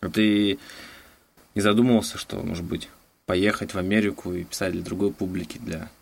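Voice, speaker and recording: With lively intonation, the speaker keeps a moderate pace, stopping for long, frequent pauses. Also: man. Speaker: podcast host. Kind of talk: interview. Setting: Skype call.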